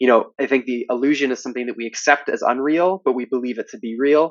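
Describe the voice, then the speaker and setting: Someone with a Canadian accent talks at a very fast pace with ordinary pitch variation. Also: man. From Canada. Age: 20s. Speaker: art student. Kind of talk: interview. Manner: hesitant, many fillers.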